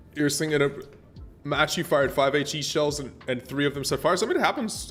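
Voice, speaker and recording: A man with an American accent at a very fast pace, music playing in the background. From US-born abroad in Germany. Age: 40s. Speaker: gaming streamer. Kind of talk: live gameplay stream chat. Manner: casual, hesitant with fillers.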